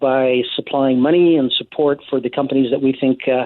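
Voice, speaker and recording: The pace here is moderate. The delivery is in an unremarkable speaking voice. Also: man. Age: 60s. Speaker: investment firm head, former political candidate. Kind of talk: radio interview.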